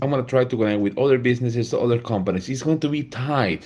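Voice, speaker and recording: The speaker has a Spanish accent. Pitch varies in an ordinary way. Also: man. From Peru. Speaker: laser engraving content creator. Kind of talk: live stream talk.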